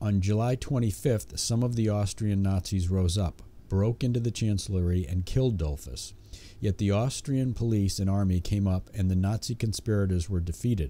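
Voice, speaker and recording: Moderate pace, ordinary pitch variation and very even loudness over music in the background. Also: man, fairly low pitch for a man. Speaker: audiobook narrator. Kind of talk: audiobook narration of history. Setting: home recording with a cheap condenser microphone. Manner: steady, measured, formal reading pace with occasional self-corrections on stumbles. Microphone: studio mic.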